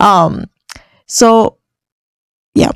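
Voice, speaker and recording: A non-native accent in a dry, close sound with no echo. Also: woman. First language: not English. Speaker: lifestyle vlogger. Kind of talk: casual monologue. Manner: halting.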